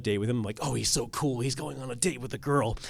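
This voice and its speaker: With a normal speaking voice, a man talks at medium pitch with ordinary pitch variation on a very clean recording with a silent background. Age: 30s. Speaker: filmmaker. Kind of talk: panel discussion.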